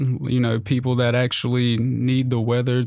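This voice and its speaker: In an American accent at a moderate pace, the speaker uses a plain, everyday voice. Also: man. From US South, western North Carolina. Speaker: meteorology student. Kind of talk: casual interview.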